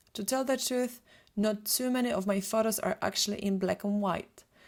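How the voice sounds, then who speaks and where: With a Polish accent, a woman talks at a moderate pace in a fairly high voice with fairly even intonation. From Poland. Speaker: photographer and retoucher. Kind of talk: webinar presentation.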